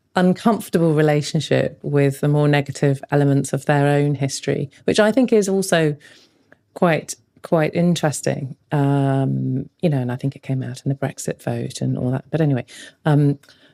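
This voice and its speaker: With an English accent, a woman speaks at a moderate pace in a very deep, low voice, dark and mellow in tone, with ordinary pitch variation and a dry, close sound with no echo. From England, London. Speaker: podcast co-host, documentary filmmaker. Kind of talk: casual chat.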